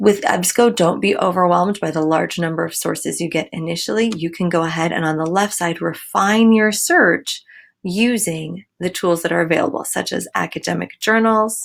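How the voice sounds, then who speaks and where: This woman's voice is fairly low in pitch, with ordinary pitch variation and hardly any pauses at a moderate pace. It's an unremarkable speaking voice on a very clean recording with a silent background. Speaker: school librarian. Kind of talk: tutorial. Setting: screen recording.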